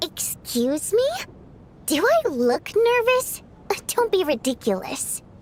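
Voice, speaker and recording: In a put-on character voice, a woman talks at an extremely high pitch with very wide pitch swings, a fairly slow pace and long, frequent pauses, over clear background noise. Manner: defensive, indignant.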